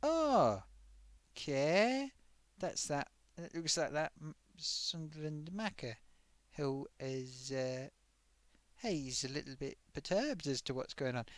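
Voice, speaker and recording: A man with a fairly high pitch talks at a very slow pace, leaving long, frequent pauses. His intonation is lively. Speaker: live stream host. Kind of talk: casual live stream chat.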